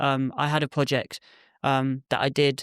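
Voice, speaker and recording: On a very clean recording with a silent background and a dry, close sound with no echo, a man in an English accent speaks at medium pitch with monotone, flat intonation. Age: 20s. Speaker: youth worker and photographer. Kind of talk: podcast interview. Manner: hesitant, many fillers.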